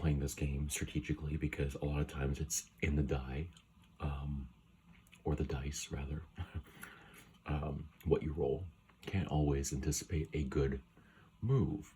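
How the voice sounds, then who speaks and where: A soft-spoken voice with a dark, mellow tone and vocal fry moves at a fairly slow pace. The intonation stays monotone and flat, with long, frequent pauses. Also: man, very deep, low pitch for a man. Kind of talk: ASMR video.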